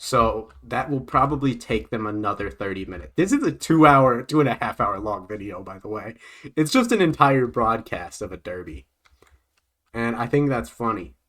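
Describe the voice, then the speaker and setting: With lively intonation and big swings in loudness, a man speaks at a moderate pace and medium pitch on a very clean recording with a silent background. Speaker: streamer. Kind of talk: casual chat. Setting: live stream.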